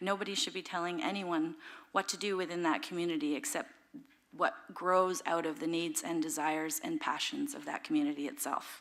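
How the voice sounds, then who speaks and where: A woman with a Canadian accent, fairly low in pitch, making very wide pitch swings. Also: fairly quick pace. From Beausoleil First Nation, Ontario, Canada. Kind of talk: panel talk. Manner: hesitant, with many fillers.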